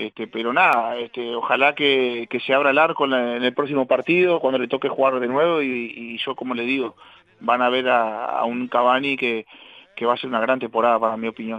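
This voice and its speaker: An unremarkable speaking voice from a man at medium pitch, at a fairly quick pace. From Uruguay, Paysandú region. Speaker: retired footballer. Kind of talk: casual interview chat.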